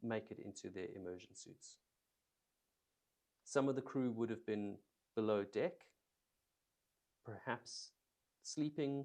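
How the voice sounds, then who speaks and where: Over long, frequent pauses and big swings in loudness, a man talks at a fairly slow pace with a dark, mellow tone, medium pitch and ordinary pitch variation. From South Africa. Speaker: documentary YouTuber researching maritime disasters. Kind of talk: live research stream, reading and commenting on a report. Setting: live stream.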